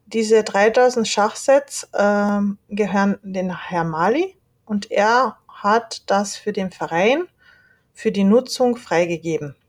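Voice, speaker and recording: At a very slow pace, a woman speaks with a medium pitch and ordinary pitch variation. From Austria and Hungary (born in Leoben, Styria). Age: 30s. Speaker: chess museum director. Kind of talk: interview.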